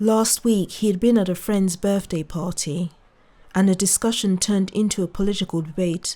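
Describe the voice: The recording consists of plain reading aloud.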